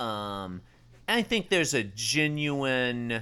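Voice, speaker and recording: A man with a bright, sharp tone and lively intonation, on a very clean recording with a silent background. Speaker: comedy podcast co-host. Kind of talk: casual chat. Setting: home bedroom recording. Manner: put-on performative tone when recording.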